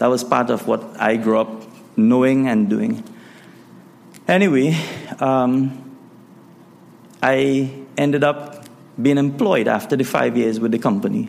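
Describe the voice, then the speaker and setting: A man speaks with lively intonation and very even loudness, leaving long, frequent pauses. Noticeable background noise runs under his voice. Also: medium pitch for a man, fairly slow pace. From Trinidad. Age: 40s. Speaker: pastor. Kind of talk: testimony. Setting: church.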